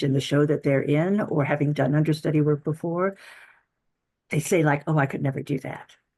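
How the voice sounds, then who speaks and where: Over a quiet background, a woman's very deep, low voice has a dark, mellow tone and fairly even intonation. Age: 60s. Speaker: stage actor. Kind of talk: podcast interview. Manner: halting.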